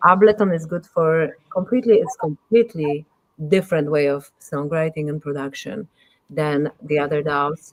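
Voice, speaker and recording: A woman with a Polish accent speaks at a moderate pace in a very deep, low voice with ordinary pitch variation, the sound dry and close with no echo. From Poland. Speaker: musician and audio engineer. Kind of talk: casual interview chat. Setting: live streamed podcast.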